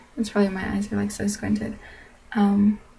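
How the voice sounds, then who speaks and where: Somewhat breathy, a woman speaks at a medium pitch with a dark, mellow tone. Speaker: vlogger. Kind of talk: casual vlog monologue.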